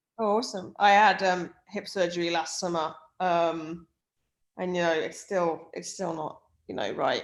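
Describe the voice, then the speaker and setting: With an English Midlands accent, a woman speaks at a fairly low pitch with ordinary pitch variation. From English Midlands, near Birmingham. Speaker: sports performance director. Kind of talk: casual chat.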